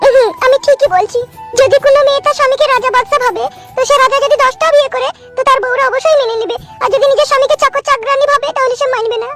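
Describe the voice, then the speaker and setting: Over clear background music, a woman uses a cartoonish character voice at an extremely high pitch, talking fairly quickly. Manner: sweet, affectionate.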